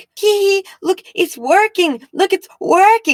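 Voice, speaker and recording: This put-on character voice is extremely high in pitch and moves at a fairly slow pace. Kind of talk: stupid-sounding cackling voice. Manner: annoying, gleeful.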